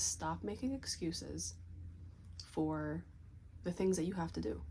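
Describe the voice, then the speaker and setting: A soft-spoken woman talks at a moderate pace. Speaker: vlogger. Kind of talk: casual motivational talk to camera. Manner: soft-spoken, talking low.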